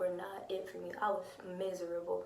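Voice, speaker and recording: Noticeable background noise surrounds a soft-spoken woman. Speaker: lupus vlogger. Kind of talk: casual talk to camera. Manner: quiet, soft-spoken.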